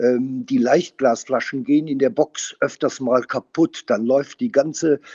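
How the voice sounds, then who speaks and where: With a fairly high pitch and lively intonation, a man speaks at a very slow pace. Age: 60s. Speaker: winemaker. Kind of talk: interview conversation. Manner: hesitant, many fillers.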